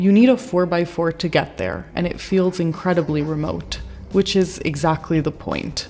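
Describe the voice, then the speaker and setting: A woman speaks at a moderate pace in a fairly low voice with ordinary pitch variation, over noticeable background noise. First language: Italian. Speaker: travel vlogger. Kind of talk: travel vlog narration. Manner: enthusiastic.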